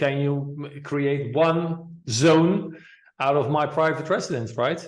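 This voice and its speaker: Audible room echo surrounds this man's voice. His pitch sits fairly high. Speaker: podcast host. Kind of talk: interview. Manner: halting.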